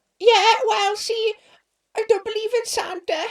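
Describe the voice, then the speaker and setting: A put-on character voice, squeaky and extremely high in pitch, at a moderate pace. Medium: audio drama.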